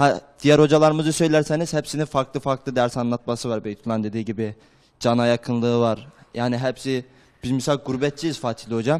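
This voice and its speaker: Against a quiet background, a man speaks at a fairly quick pace with fairly even intonation. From Turkey, Erzurum; Turkey. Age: 20s. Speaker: madrasa student; talk show guest. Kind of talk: TV interview. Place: studio. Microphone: handheld.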